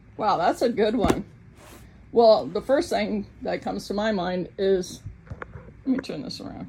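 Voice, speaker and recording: A woman with an American accent talks fairly slowly at a medium pitch, her lively intonation and big swings in loudness separated by long, frequent pauses. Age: 60s. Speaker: YouTuber. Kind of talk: casual vlog chat. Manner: chatty, with filler ums.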